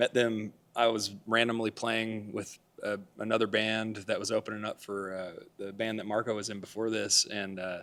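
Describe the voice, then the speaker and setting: A man speaks with a West Texas accent at a moderate pace. His fairly low voice is monotone and flat. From West Texas (Amarillo). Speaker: Americana musician. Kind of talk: interview. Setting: theatre.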